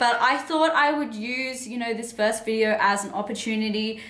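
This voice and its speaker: The speaker has an Australian accent. Audible room echo is present. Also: woman. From Sydney, Australia. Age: 20s. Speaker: self-development coach and author. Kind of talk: personal story vlog. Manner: casual, chatty with fillers.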